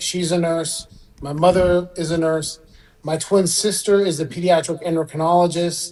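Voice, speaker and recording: A man talks at a moderate pace in a high voice. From Iran, then Southern California. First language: Persian. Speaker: orthopedic spine surgeon. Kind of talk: interview.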